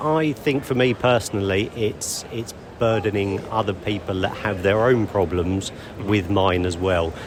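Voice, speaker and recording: Against noticeable background noise, a man with a British accent speaks at a fairly slow pace, with a fairly low pitch and ordinary pitch variation. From United Kingdom. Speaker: interviewee, tourist. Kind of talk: casual interview. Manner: halting.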